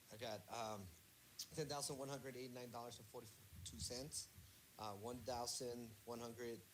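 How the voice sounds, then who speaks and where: Audible room echo surrounds this man's voice. He speaks at a medium pitch and moderate pace with fairly even intonation. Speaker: student. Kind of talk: reading numbers in class. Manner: stutter; halting.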